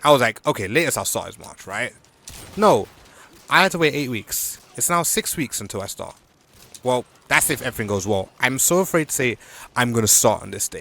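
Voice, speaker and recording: Against noticeable background noise, a man at a medium pitch talks at a fairly quick pace with very wide pitch swings and long, frequent pauses. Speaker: gaming video diarist. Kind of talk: casual vlog chat while gaming. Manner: quiet, relaxed; halting with restarts.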